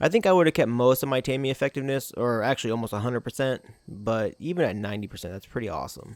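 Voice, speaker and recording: Mumbling at a very fast pace with hardly any pauses, a man speaks at a medium pitch with ordinary pitch variation, in a dry, close sound with no echo on a very clean recording with a silent background. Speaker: gaming YouTuber. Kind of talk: gameplay tutorial. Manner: halting.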